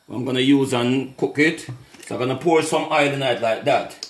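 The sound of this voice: With audible room echo, a man speaks at a moderate pace in a medium-pitched voice with ordinary pitch variation.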